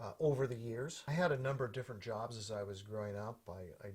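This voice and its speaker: A somewhat breathy man with an American accent, very fast pace and ordinary pitch variation. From US Pacific Northwest, Portland, Oregon. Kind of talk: personal storytelling.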